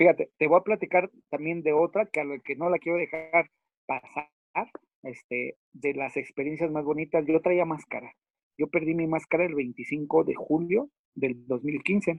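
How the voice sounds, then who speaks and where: Talking at a fairly slow pace, a man with a fairly high pitch has an ordinary speaking voice. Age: 40s. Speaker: professional wrestler. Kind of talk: interview.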